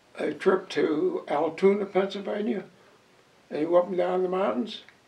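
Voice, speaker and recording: With an Ohio accent, this man talks at a moderate pace in a high pitch with ordinary pitch variation. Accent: Ohio, American Midwest. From East Palestine, Ohio. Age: 80s+. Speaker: retired railroad brakeman. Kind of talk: interview answer.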